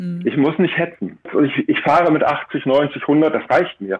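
An ordinary speaking voice talks at a moderate pace. The intonation is lively. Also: man. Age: 50s. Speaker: life coach and motorcycle tour guide. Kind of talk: radio interview.

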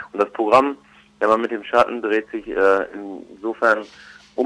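A man's fairly low voice stays monotone and flat at a moderate pace. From Germany, Ruhr area. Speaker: comedian and musician. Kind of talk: interview. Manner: hesitant with fillers.

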